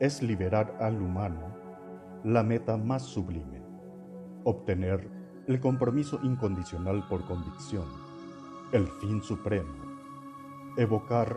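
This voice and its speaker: Over music in the background, a man with fairly low pitch and lively intonation talks at a fairly slow pace with long, frequent pauses. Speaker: narrator. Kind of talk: podcast essay narration.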